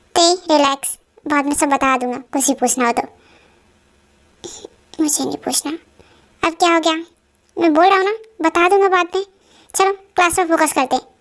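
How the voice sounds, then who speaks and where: A woman's put-on character voice, extremely high, at a fairly quick pace broken by long, frequent pauses. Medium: solo performance. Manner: firm, authoritative.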